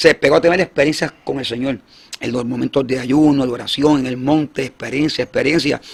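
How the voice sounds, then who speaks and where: A man talks at a fairly high pitch with fairly even intonation. Background noise is noticeable. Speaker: evangelist. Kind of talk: testimony. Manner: halting.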